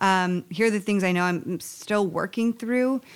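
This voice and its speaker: A woman with an unremarkable speaking voice talks at a moderate pace, medium pitch and ordinary pitch variation on a very clean recording with a silent background. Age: 30s. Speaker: relationship coach and author. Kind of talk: interview conversation.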